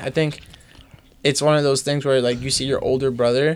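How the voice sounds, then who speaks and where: A man with a New York accent at a fairly high pitch, with noticeable background noise. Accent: New York metro American English. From US, New Jersey, Bergen County suburbs. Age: 20s. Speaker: fashion brand owner. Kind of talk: casual chat.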